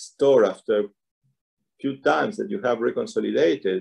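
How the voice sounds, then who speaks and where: A man speaks with a Spanish accent at a medium pitch. There is vocal fry in his voice. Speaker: neuroscientist and author. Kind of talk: interview.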